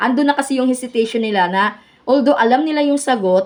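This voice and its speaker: Ordinary pitch variation runs through a woman's high voice as she talks at a moderate pace. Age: 40s. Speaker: education student presenter. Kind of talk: class report. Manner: halting.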